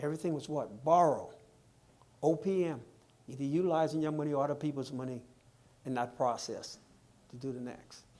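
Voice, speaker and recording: Speaking with a Bahamian accent, a man uses a fairly high pitch and a dark, mellow tone. His pace is fairly quick, his intonation fairly even, and his pauses long and frequent. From Bahamas. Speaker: financial seminar speaker. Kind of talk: seminar Q&A answer. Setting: live-streamed seminar with audience. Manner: engaging, uses rhetorical questions to audience.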